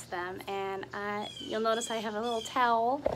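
Light background noise runs under the recording. A woman speaks at a high pitch and a moderate pace. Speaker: teacher reading to children. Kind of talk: children's story reading. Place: garden. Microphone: phone near.

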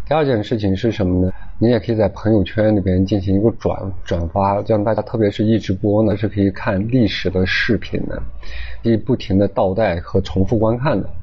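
A man talks fairly quickly, his pitch fairly low and his intonation fairly even. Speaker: lecturer. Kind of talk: lecture. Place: classroom. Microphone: lapel.

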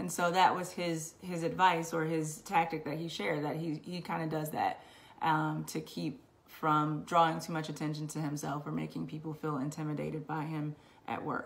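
Moving at a moderate pace, a woman speaks at a very deep, low pitch with vocal fry and monotone, flat intonation. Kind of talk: personal testimony. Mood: earnest, reflective. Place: home room. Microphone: webcam.

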